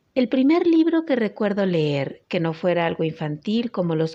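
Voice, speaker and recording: Over a quiet background, a dark, mellow voice moves at a fairly slow pace. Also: woman. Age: 30s. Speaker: book club participant, reader. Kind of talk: prepared self-introduction. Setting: WhatsApp voice message.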